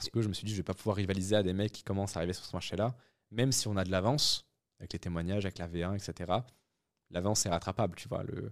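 A man's fairly low-pitched voice at a very fast pace, with fairly even intonation, in a very clean recording against a silent background. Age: 20s. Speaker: entrepreneur. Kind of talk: interview.

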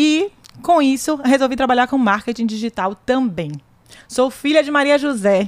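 This woman talks at a moderate pace with lively intonation. Her pitch is high. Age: 30s. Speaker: podcast host, lawyer. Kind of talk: casual chat.

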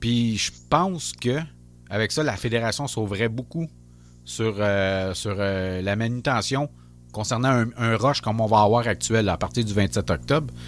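A man with a plain, everyday voice talks at a fairly slow pace in a medium pitch. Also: ordinary pitch variation. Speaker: podcast host. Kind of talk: casual chat.

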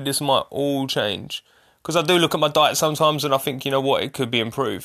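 A man speaks with a fairly high pitch and a bright, sharp tone. The recording is very clean, with a silent background. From Essex, England. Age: 30s. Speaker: podcast host. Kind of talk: casual solo monologue.

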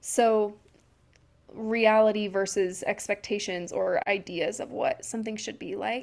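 At a fairly slow pace, a woman speaks in a fairly high pitch with fairly even intonation. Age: 20s. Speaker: podcast co-host. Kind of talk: casual chat. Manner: unedited, with ums and pauses.

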